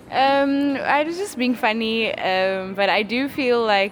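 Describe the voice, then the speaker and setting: Noticeable background noise behind a woman whose pitch varies in an ordinary way. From South Africa, Cape Town. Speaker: rapper and singer. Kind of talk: interview. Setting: music festival.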